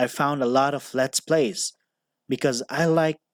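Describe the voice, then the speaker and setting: A man with a non-native accent speaks fairly slowly at a medium pitch, with ordinary pitch variation. The recording is very clean and silent in the background, with a dry, close sound and no echo. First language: not English. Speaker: commentary YouTuber. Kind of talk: opinion commentary narration.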